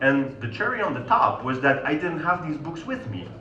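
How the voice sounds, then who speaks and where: A man with a Polish accent speaks at a moderate pace with a fairly high pitch and lively intonation. Noticeable background noise and audible room echo are present. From Poland. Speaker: sales consultant. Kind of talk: conference talk.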